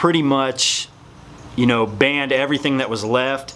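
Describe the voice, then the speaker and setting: Noticeable background noise runs through the clip. The man's voice sits at a fairly high pitch. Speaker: fitness supplement youtuber. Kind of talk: casual talking-head explainer video. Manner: mumbling.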